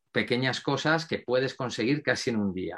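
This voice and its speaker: A man with a normal speaking voice talks at a moderate pace with ordinary pitch variation in front of a quiet background. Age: 50s. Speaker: mental focus coach. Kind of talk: interview.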